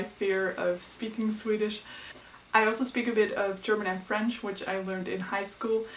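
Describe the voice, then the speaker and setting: A woman with a Dutch accent speaks in a monotone, flat way at a moderate pace, with noticeable background noise and audible room echo. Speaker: book vlogger. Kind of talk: casual vlog.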